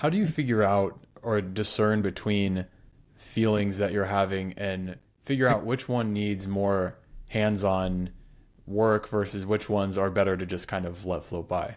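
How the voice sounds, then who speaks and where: A plain, everyday voice from a man, fairly low in pitch, with a fairly slow pace and fairly even intonation. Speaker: podcast host. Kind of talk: casual interview.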